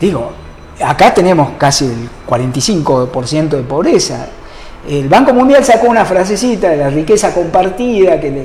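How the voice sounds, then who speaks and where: A man's high voice at a fairly slow pace, with very wide pitch swings, audible room echo and noticeable background noise. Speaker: economist. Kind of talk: interview. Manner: halting.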